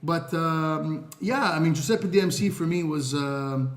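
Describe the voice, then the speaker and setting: A man with a fairly high pitch and fairly even intonation is heard with audible room echo. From Montreal, Quebec, Canada. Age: 30s. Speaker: social media influencer. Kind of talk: podcast interview. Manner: halting, many fillers and repeated words.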